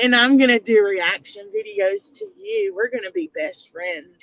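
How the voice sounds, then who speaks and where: With a Southern US accent and an animated tone, the speaker talks at a moderate pace in a dry, close sound with no echo. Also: woman. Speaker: youtube commentator livestreamer. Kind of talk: casual livestream commentary. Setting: in a car.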